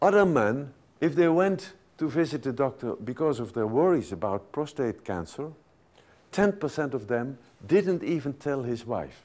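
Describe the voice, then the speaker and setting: A man speaks with a Dutch accent at a fairly high pitch. The recording is very clean, with a silent background. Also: lively intonation, moderate pace. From Netherlands. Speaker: physician and sexologist. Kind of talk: lecture. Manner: halting.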